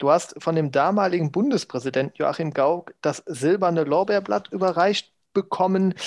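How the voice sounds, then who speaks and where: The recording is very clean, with a silent background and a dry, close sound with no echo. A man speaks at a moderate pace in a high pitch, with ordinary pitch variation and very even loudness. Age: 40s. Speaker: podcast co-host. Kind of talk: casual chat.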